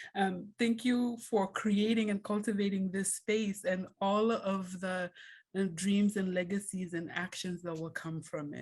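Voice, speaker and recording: Somewhat breathy and at a medium pitch, a woman speaks at a fairly slow pace with fairly even intonation. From Kenya. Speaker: scholar, book editor. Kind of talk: short presentation in a video call.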